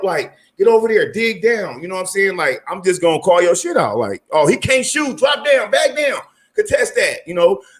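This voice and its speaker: A loud, high-pitched man with an American accent, animated in tone and lively in intonation. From California. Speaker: basketball player and coach. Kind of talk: casual chat.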